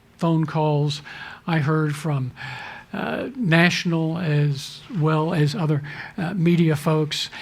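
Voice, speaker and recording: Audible room echo surrounds a man who talks at a very slow pace, fairly high in pitch, with fairly even intonation. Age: 60s. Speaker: denominational leader. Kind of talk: talk to a church audience.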